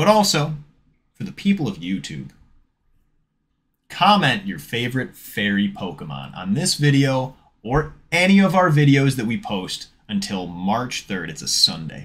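With long, frequent pauses, a man speaks in very wide pitch swings. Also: moderate pace. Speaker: card-opening channel host. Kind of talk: casual giveaway announcement. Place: home room. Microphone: studio mic.

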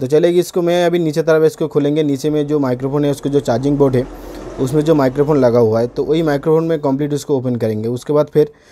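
A man's fairly high voice with a dark, mellow tone, ordinary pitch variation and a fast pace.

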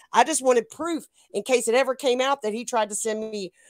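A woman talks at a fairly quick pace in a fairly high pitch with ordinary variation. The sound is dry and close, with no echo.

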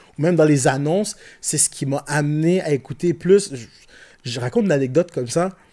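Speaking at a fairly quick pace, a man with a Quebec accent has a fairly high pitch and a dark, mellow tone. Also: ordinary pitch variation, quiet background. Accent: Québécois French. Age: 40s. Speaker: rapper and IT technician; podcast guest. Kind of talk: casual chat. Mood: relaxed, animated. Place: studio. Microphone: studio mic.

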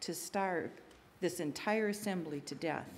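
A woman talks at a fairly slow pace. Her pitch varies in an ordinary way. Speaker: lay scripture reader. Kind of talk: scripture reading. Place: church. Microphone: podium.

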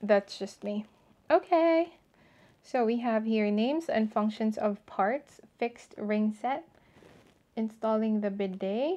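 Her dark, mellow tone sits at a fairly high pitch, with lively intonation. The woman speaks at a very slow pace with long, frequent pauses. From Philippines, Bacolod City; Philippines. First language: Filipino (Tagalog/Hiligaynon). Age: 20s. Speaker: lifestyle vlogger. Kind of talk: casual unboxing vlog. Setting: at home bathroom, on camera. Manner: chatty, code-switching.

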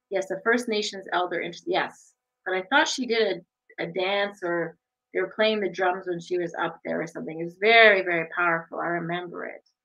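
The speech moves at a fairly quick pace. The background is quiet. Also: woman, medium pitch for a woman, ordinary pitch variation. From Sault Ste. Marie area, Ontario, Canada. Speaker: online show host. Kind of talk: casual interview chat. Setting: video livestream. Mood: warm, friendly, smiling. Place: home room. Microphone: webcam.

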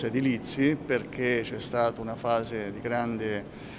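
A man's monotone, flat intonation over noticeable background noise. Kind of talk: interview answer. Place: hall.

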